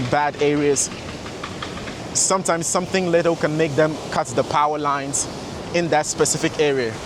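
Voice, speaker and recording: A man speaks at a fairly quick pace and a fairly high pitch, in a monotone, flat intonation. Noticeable background noise is present. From Sweden, born in Ghana. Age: 20s. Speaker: vlogger and fitness coach. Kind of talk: walking vlog talk to camera. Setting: outdoors, walking by the beach.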